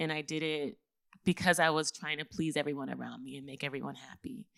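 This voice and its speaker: A bright, sharp voice speaks at a fairly quick pace with fairly even intonation. The recording is very clean with a silent background and a dry, close sound with no echo. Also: woman. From Texas, Houston (Third Ward). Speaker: podcast host and business coach. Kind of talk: live podcast talk.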